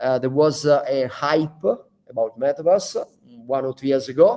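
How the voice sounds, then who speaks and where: In an Italian accent, a man speaks with a fairly high pitch and a dark, mellow tone. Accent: Italian accent, non-native English. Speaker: founder of a digital training school. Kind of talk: business talk to staff. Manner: halting, many fillers.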